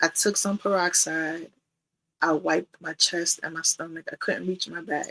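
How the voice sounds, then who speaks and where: With a New York accent, a woman speaks at a fairly slow pace in a fairly low, bright, sharp voice, recorded dry and close with no echo. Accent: New York (Bronx). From New York City, the Bronx. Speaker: domestic violence survivor. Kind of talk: testimony.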